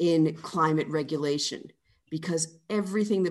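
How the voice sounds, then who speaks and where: Against a quiet background, a woman speaks in a normal speaking voice at a moderate pace. Her pitch is fairly low, with ordinary pitch variation. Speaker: author. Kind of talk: interview conversation.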